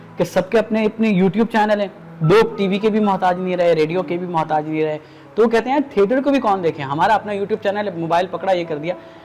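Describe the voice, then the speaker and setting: A man's high voice shows ordinary pitch variation, with noticeable background noise behind it. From Pakistan. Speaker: voice actor. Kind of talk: interview answer.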